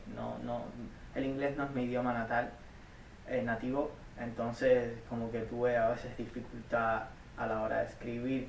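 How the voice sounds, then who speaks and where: With a Cuban accent, a man speaks at a medium pitch in a monotone, flat way. His moderate pace is broken by long, frequent pauses, with audible room echo. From Cuba, Havana. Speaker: community college student. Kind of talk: interview testimony. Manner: halting, many repetitions and fillers.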